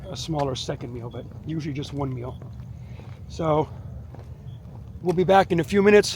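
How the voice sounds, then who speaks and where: A man talks very fast in a fairly high pitch while noticeable background noise sounds behind him. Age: 60s. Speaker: martial arts instructor and fitness vlogger. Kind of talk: casual vlog narration. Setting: outdoors on a walk, then at home dojo. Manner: casual with frequent fillers and repeats.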